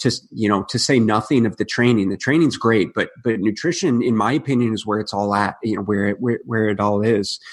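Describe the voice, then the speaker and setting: A man with an American accent and a plain, everyday voice, medium in pitch, with ordinary pitch variation, a fairly quick pace and hardly any pauses. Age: 30s. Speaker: nutritionist and rugby player. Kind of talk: casual interview.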